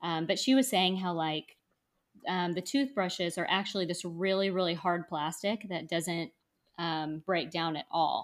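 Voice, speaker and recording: Speaking with an American accent, a woman with a fairly low pitch talks at a fairly slow pace with ordinary pitch variation on a very clean recording with a silent background. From North Texas. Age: 30s. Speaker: scuba instructor and podcaster. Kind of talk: casual interview. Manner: hesitant with many fillers.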